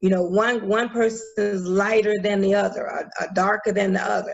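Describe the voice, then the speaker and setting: The pace is fairly quick in an unremarkable speaking voice. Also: woman. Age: 60s. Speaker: minister and educator, presenter. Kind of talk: presentation to online community group.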